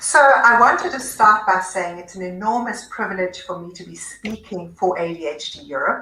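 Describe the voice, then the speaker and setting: A speaker with a South African accent talks at a moderate pace, with hardly any pauses, ordinary pitch variation and big swings in loudness. Audible room echo and noticeable background noise are present. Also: woman, medium pitch for a woman. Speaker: psychiatrist. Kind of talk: presentation. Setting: online webinar.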